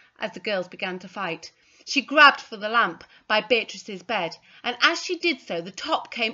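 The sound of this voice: With lively intonation, the speaker reads in an unforced voice.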